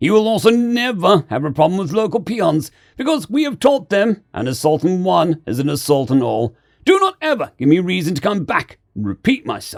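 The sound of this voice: A man's put-on character voice, high-pitched with vocal fry and big pitch swings. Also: moderate pace, very clean recording, silent background.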